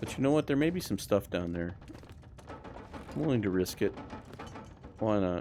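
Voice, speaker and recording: Speaking at a moderate pace, a man leaves long, frequent pauses. His fairly low voice moves in very wide pitch swings. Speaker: let's play gamer. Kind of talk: gameplay commentary. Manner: casual, thinking aloud.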